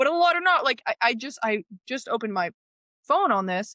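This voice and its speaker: A woman's animated tone at a moderate pace, very wide pitch swings, dry, close sound with no echo and a quiet background. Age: 20s. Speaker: guest on critical thinking. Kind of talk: casual interview chat. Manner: animated, stumbling restarts.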